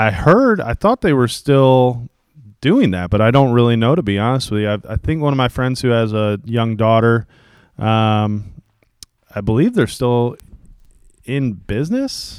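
In a very clean recording with a silent background, a man speaks in an ordinary speaking voice. His pitch is medium with ordinary pitch variation, and his pace is fairly slow. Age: 30s. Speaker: podcast co-host. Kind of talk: casual chat.

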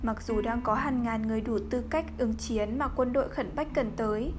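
At a moderate pace, a woman speaks in a fairly high pitch with vocal fry and fairly even intonation. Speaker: podcast narrator reading a novel aloud. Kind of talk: literary audiobook reading, measured narration with dialogue passages. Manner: steady, even storytelling pace, solemn and dramatic; soft and calming late-night tone.

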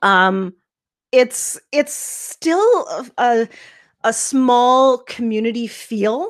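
A woman's high voice with a Canadian accent, very slow pace and lively intonation. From Saskatchewan, Canada. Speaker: life coach. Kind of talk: interview.

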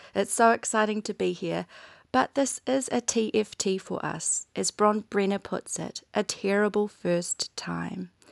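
Speaking in a New Zealand accent, a woman at medium pitch goes at a fairly slow pace with fairly even intonation, in a dry, close sound with no echo and a quiet background. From New Zealand (Bay of Plenty, Waikato). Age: 30s. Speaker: primary school teacher, podcast co-host. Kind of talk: casual podcast chat, personal story.

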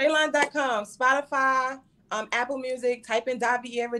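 With a Brooklyn accent, a woman speaks at a high pitch in a bright, sharp tone. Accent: New York (Brooklyn). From Brooklyn, New York. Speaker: rapper. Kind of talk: casual interview.

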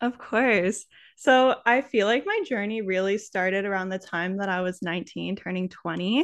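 A woman with an ordinary speaking voice talks at a moderate pace in a medium pitch with ordinary pitch variation against a quiet background. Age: 20s. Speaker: wellness content creator. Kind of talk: casual chat.

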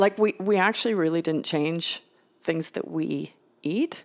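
An ordinary speaking voice: a woman with a Canadian accent and fairly low pitch talks at a moderate pace. Her intonation is fairly even on a very clean recording with a silent background. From Canada, Victoria BC. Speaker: biology professor. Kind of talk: casual chat.

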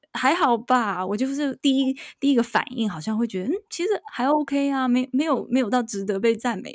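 On a very clean recording with a silent background, a woman with a high pitch makes very wide pitch swings. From Taiwan. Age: middle-aged. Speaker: podcast host, university professor. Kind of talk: casual chat. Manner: halting, many fillers.

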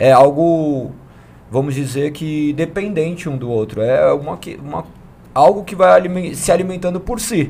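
At a moderate pace, a man speaks in a fairly high pitch with lively intonation and big swings in loudness. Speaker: church member. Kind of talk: testimony. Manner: talkative.

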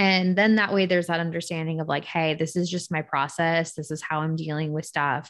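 In a plain, everyday voice, a woman talks at a fairly quick pace with hardly any pauses. Her pitch is fairly low, her intonation fairly even, and the background quiet. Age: 20s. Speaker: podcast co-host. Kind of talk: casual chat.

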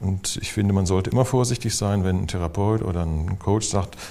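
A man talks at a fairly low pitch with fairly even intonation. Noticeable background noise is present. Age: 60s. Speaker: physician and psychotherapist. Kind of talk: interview conversation.

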